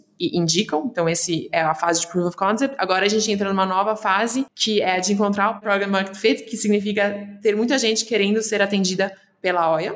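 Over noticeable background noise, a woman speaks at a moderate pace in a medium pitch with fairly even intonation. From Brazil, São Paulo and interior of Paraná. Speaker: startup founder. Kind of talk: interview.

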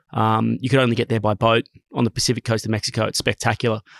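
Very clean, with a silent background, the recording has a dry, close sound with no echo. A man with an Australian accent speaks at a medium pitch in monotone, flat intonation. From Sydney, Australia. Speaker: company co-founder. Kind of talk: interview.

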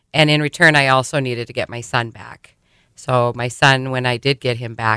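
A woman with an Upper Midwest accent speaks at a very deep, low pitch and a moderate pace, with a bright, sharp tone and fairly even intonation. The recording is very clean, with a silent background and a dry, close sound with no echo. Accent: Upper Midwest American. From South Dakota, Sioux Falls. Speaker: trafficking survivor and program coordinator. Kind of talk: testimony. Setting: radio studio.

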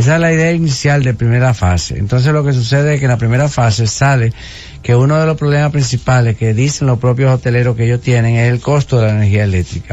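A man talks very fast at a medium pitch with very even loudness. His pitch varies in an ordinary way, and background noise is noticeable. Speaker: government official. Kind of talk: radio interview.

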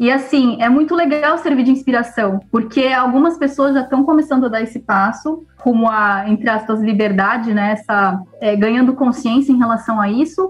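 Here a woman speaks at a moderate pace in a high pitch. She keeps her loudness very even and hardly pauses at all. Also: ordinary pitch variation. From Brazil, São Paulo. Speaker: integrative therapist, agronomist. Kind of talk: casual interview chat.

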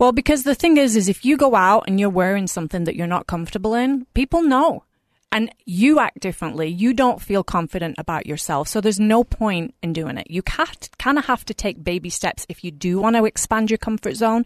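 With an English accent and a fairly high pitch, a woman talks at a fairly quick pace with very wide pitch swings, in a dry, close sound with no echo against a quiet background. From England. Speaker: fashion blogger and influencer. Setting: studio.

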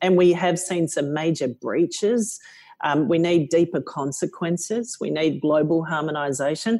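A woman's fairly low voice with a dark, mellow tone, an Australian accent and ordinary pitch variation. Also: moderate pace. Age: 50s. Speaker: company CEO. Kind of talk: interview.

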